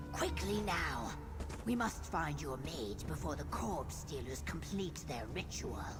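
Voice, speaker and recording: A put-on character voice plays over loud background music. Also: fairly slow pace. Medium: machinima. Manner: formal, measured.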